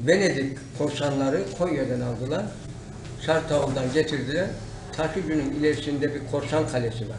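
Noticeable background noise sits behind a man talking at a moderate pace. His voice is fairly high in pitch. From Silifke, Mersin, Turkey. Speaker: retired teacher, walked across Turkey. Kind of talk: interview answer. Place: office. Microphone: camera far.

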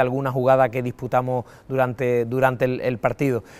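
Here a man talks at a fairly quick pace and a medium pitch. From Andalusia, Cádiz province (Valle del Guadiaro). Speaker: retired footballer. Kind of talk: interview. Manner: halting, many repetitions and fillers.

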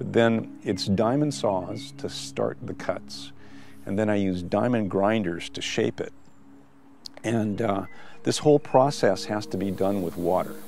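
At a fairly slow pace, a man with a fairly low voice speaks over faint background music, the sound dry with no echo. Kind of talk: interview answer. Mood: calm, reflective. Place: garden.

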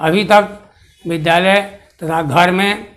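A man talks at a fairly slow pace in a high voice. His intonation stays fairly even. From Bihar, Bhojpur district; Bihar. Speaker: retired astrology teacher, Sanskrit scholar. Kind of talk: autobiographical account. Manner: slow, halting with many pauses. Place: home room.

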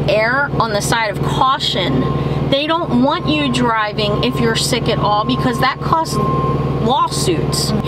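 The speech moves at a fairly slow pace. Loud background noise sits behind it. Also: woman. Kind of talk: casual vlog chat. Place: car.

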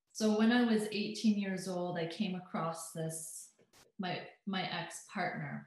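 A woman speaks with a Canadian accent at a medium pitch. Her voice is somewhat breathy, with ordinary pitch variation. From Alberta, Canada. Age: 30s. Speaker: hypnotherapist and transformational coach. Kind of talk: interview chat, personal testimony.

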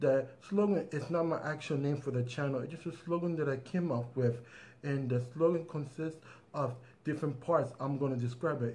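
At a moderate speed, a man talks in a somewhat breathy voice, his pitch shifting in an ordinary way. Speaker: tech channel host. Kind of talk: casual vlog chat. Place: home room. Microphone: phone near.

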